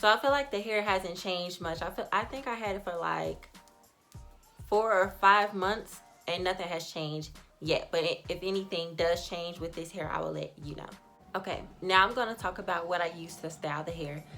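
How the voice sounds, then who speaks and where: A woman with an American accent speaks at a moderate pace while music plays in the background. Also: medium pitch for a woman, ordinary pitch variation. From Chicago. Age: 20s. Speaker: beauty vlogger. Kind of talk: casual talk to camera.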